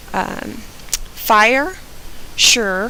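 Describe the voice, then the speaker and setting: A woman with an American accent speaks in a fairly high pitch. Room echo is audible, and there is noticeable background noise. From US South, Georgia. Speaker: vlogger. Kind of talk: reading word list and casual commentary.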